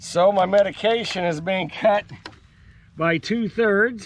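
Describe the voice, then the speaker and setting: This is a man with a high-pitched voice. His pitch varies in an ordinary way. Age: 60s. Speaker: farmer. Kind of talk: vlog monologue. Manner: halting.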